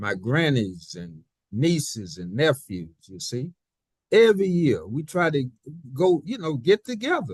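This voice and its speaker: A man speaks at a fairly slow pace in a fairly high, somewhat breathy voice. His pitch swings very widely and his loudness rises and falls sharply. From US South. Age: 80s+. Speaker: elder community member. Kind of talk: interview. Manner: halting, with many repetitions.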